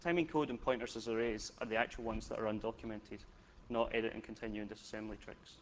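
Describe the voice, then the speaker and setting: A man with a slight Scottish accent talks very fast at a medium pitch, with ordinary pitch variation. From Scotland. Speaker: software developer, conference speaker. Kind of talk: technical conference talk. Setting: stage with audience. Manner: casual, joking.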